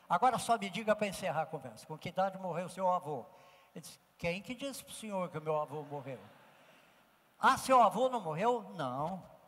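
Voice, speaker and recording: The intonation is lively, loudness swings widely, and the pace is moderate. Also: man, high pitch for a man. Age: 80s+. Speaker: professor and ethics speaker. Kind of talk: lecture; storytelling.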